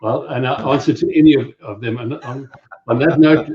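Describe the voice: Speaking fairly quickly in a South African accent, a man has a husky, rough edge. His pitch is medium, with ordinary variation.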